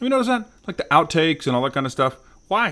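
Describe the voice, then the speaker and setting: A man with lively intonation on a very clean recording with a silent background. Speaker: cigar vlogger. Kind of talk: casual vlog talk. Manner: loud.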